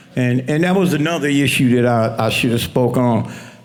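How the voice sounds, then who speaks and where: A medium-pitched man speaks at a moderate pace with ordinary pitch variation, amid noticeable background noise and audible room echo. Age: 70s. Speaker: community member telling his faith story. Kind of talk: testimony. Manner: halting, with many restarts.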